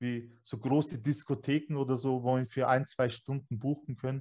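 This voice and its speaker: A man talks in a flat monotone at medium pitch. His pace is moderate, and the background quiet. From Bavaria, Germany (Weiden, Upper Palatinate). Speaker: escape room owner. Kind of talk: interview. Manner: casual, colloquial.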